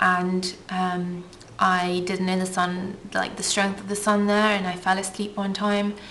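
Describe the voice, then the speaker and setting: Monotone, flat intonation at a moderate pace, with audible room echo. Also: woman. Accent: southern English. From England (from age eight; born Russian, lived in Ukraine). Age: 20s. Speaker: beauty vlogger. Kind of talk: casual Q&A vlog. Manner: chatty, many filler ums.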